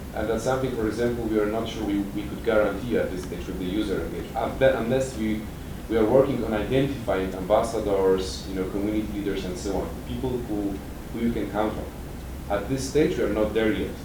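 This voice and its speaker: A man's fairly low voice at a very fast pace, ordinary pitch variation, audible room echo and noticeable background noise. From Poland. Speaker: transparency activist presenting at a conference. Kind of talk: conference session presentation with Q&A. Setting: conference room with audience. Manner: halting, with many repetitions and fillers.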